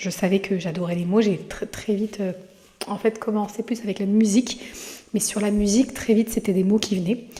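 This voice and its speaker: Against noticeable background noise, a woman talks at a moderate pace and medium pitch with fairly even intonation. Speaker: podcast host; mother. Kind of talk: casual monologue. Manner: halting, many hesitations.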